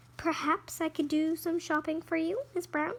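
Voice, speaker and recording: Someone speaks in a put-on character voice at a moderate pace. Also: woman, extremely high pitch for a woman. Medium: read story. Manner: polite, earnest.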